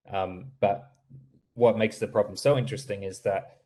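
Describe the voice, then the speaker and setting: A man talks with an American accent. His voice is somewhat breathy, with a dark, mellow tone. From Australia. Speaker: startup founder presenting voice software. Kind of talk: webinar Q&A answer. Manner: halting, many fillers and repetitions.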